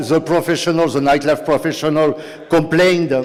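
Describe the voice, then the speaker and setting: There is noticeable background noise behind a man whose voice sits at a fairly high pitch. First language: French. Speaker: city nightlife policy official. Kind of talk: conference talk. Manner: halting, many fillers.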